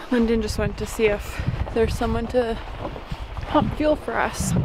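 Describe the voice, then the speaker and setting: A woman's voice, dry and free of echo, with noticeable background noise. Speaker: sailing vlogger. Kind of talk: casual vlog chat. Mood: shaken but upbeat. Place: waterside. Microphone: phone near.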